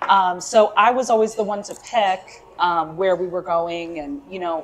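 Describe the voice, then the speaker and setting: Ordinary pitch variation and a moderate pace from a female speaker, over light background noise. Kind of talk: interview answer. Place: cafe.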